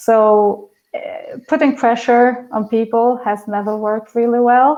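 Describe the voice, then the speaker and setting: A woman speaks in an Albanian accent at a fairly slow pace. Her intonation is monotone and flat. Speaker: project management consultant. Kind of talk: Q&A answers at online talk. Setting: remote video stream. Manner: hesitant, many fillers and repeats.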